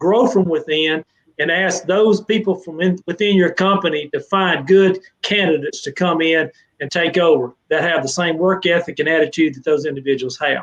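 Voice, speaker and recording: A man with a Southern US accent talks at a moderate pace in a high voice. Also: ordinary pitch variation. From Mississippi, US South. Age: 60s. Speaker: fencing trade association director. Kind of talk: live interview Q&A. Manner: animated.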